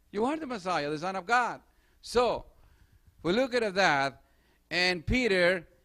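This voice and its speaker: There is a quiet background as a man talks. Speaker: preacher. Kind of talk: sermon. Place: church. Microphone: handheld.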